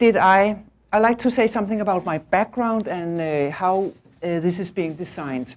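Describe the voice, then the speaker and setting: A woman with a Danish accent speaks at a medium pitch. Her pace is fairly slow and her intonation lively. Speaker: management consultant and visiting professor. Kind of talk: lecture. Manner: halting.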